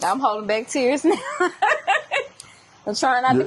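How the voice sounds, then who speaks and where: A woman speaks loudly in a high pitch with lively intonation at a fairly slow pace. Noticeable background noise is present. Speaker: interviewee.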